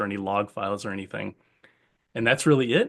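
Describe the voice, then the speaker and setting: A man talks at a very fast pace. His intonation is fairly even, and the background is quiet. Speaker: tech webinar presenter. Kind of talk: live software demo.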